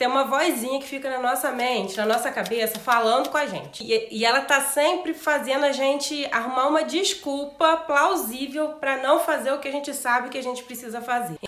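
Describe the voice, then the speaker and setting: A woman speaks in a high pitch with ordinary pitch variation. The room echo is audible. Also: fairly quick pace. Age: 40s. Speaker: vlogger. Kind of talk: personal vlog talk. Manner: conversational.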